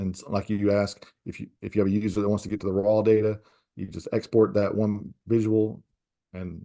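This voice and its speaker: A man with a strong Southern US accent speaks fairly quickly in a dark, mellow tone at a fairly low pitch, over a quiet background. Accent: thick Southern US. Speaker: professor. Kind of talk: casual chat; tutorial.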